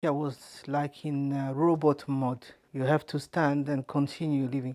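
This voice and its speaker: With a French accent, a woman speaks at a fairly slow pace in a very deep, low pitch, her dark, mellow tone delivered in a monotone, flat intonation on a very clean recording with a silent background. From France. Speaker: wife of a detainee. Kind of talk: testimony. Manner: halting.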